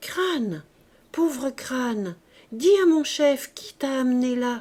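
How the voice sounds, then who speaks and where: Putting on a character voice, a woman speaks with a high pitch at a fairly slow pace. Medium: read story.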